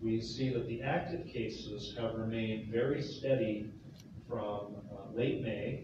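A man talks at a very slow pace with ordinary pitch variation. There is noticeable background noise and strong room echo. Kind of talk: press briefing statement. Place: hall.

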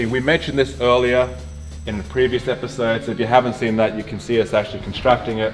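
Faint music plays in the background. A man talks at a very fast pace. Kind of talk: casual tour commentary. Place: gym.

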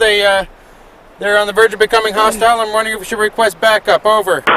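Amid light background noise, a man uses a raised, projected voice, the sound dry with no echo. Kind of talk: comedic in-character confrontation. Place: beach. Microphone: camera far.

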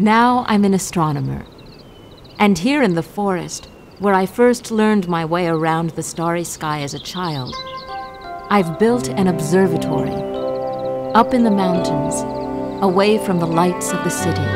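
A woman speaks at a moderate pace with lively intonation and long, frequent pauses. Music plays in the background. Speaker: narrator. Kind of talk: planetarium show narration. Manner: warm, storytelling.

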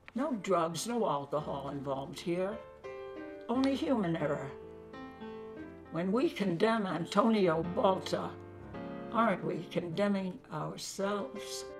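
Against clear music in the background, a woman with a fairly low pitch speaks at a fairly slow pace, using lively intonation and long, frequent pauses. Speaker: poet. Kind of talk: poetry reading. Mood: earnest, pleading. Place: home room.

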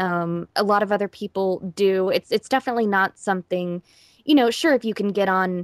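A woman with an unremarkable speaking voice talks at a fairly quick pace and medium pitch, recorded very cleanly with a dry, close sound, no echo and a silent background. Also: ordinary pitch variation. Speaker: voice actor. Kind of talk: interview answer. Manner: casual, conversational.

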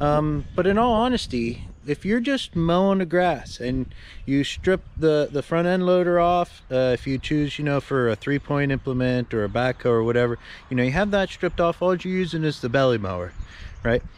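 The speech moves at a moderate pace with lively intonation. The sound is dry, with no echo. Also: man. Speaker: tractor owner. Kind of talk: casual vlog chat. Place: garden. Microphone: phone near.

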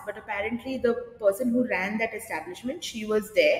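Audible room echo around a woman speaking at a moderate pace. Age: 30s. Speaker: drama teacher. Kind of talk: casual interview. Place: studio.

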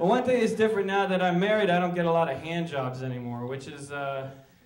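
A high-pitched man's voice with light background noise and audible room echo. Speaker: stand-up comedian. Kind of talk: stand-up comedy routine. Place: stage. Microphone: handheld.

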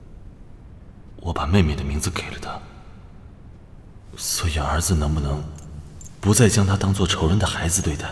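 A man's very deep, low voice at a very slow pace, with ordinary pitch variation, audible room echo and light background noise. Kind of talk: dramatic monologue. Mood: grave, conflicted, sorrowful.

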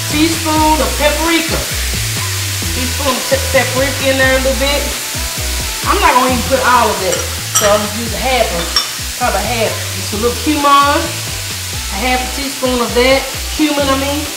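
A woman at a moderate pace, with long, frequent pauses and clear music in the background. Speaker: cooking show host. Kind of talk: cooking tutorial. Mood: warm, playful. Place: kitchen.

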